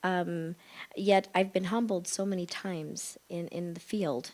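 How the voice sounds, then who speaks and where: A woman with a Midwestern accent, fairly low in pitch, with fairly even intonation. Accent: American Midwestern. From US Midwest, Chicago suburbs. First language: Spanish. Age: 50s. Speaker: psychologist and panelist. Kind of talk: panel discussion. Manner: halting, many fillers.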